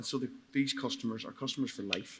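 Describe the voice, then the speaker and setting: A man with a Donegal accent. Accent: Donegal Irish. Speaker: market gardener. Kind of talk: live panel discussion. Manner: halting, repeats words.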